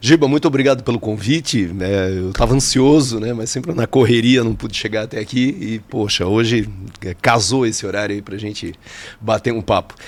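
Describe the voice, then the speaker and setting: Noticeable background noise behind a man's voice at a moderate pace. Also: medium pitch for a man, ordinary pitch variation. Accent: Santa Catarina. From Joinville, Santa Catarina, Brazil. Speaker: geography teacher. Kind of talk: casual interview chat. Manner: halting, many fillers.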